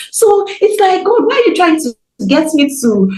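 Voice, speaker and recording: A woman's pitch swings very widely. Background noise is noticeable. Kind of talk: casual interview chat.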